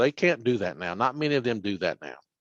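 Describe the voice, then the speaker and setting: Dry and close with no echo over a quiet background, a man in a Tennessee accent talks at a very fast pace with vocal fry and lively intonation. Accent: Southern US (Tennessee). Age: 60s. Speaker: workers' compensation official. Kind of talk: webinar presentation. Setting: online webinar.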